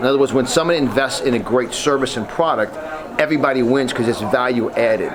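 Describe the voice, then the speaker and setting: The speaker sounds animated, talking at a very fast pace with ordinary pitch variation. Crowd noise fills the background, and room echo is audible. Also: man. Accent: New York. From New York. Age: 50s. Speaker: motivational speaker. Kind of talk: interview.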